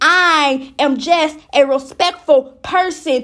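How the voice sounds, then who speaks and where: A woman speaks in a high voice with a bright, sharp tone and ordinary pitch variation. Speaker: poet. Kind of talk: poetry reading, spoken-word poem. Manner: rhythmic, repetitive; defiant, indignant.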